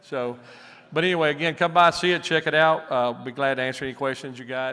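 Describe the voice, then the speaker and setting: This man speaks with a Southern US accent at a fairly high pitch. His tone is bright and sharp, and his pace is fairly quick. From US South, Alabama. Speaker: aircraft company president. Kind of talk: stage presentation. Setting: stage with audience. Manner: animated.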